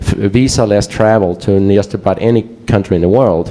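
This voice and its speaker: Noticeable background noise sits behind a man with a fairly low pitch. His intonation stays fairly even. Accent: Swedish. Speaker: security researcher. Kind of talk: conference presentation. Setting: stage with audience. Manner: halting.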